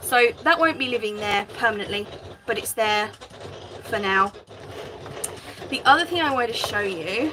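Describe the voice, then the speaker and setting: A woman at a fairly high pitch with lively intonation, moderate pace and long, frequent pauses over noticeable background noise. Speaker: craft livestreamer. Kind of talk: live craft stream chat.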